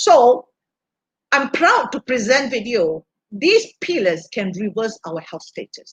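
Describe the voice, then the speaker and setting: A woman with a high pitch speaks very slowly, her voice making very wide pitch swings. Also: dry, close sound with no echo. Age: 60s. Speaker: health product speaker, former hospital worker. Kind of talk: livestream health seminar talk. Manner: halting, many fillers.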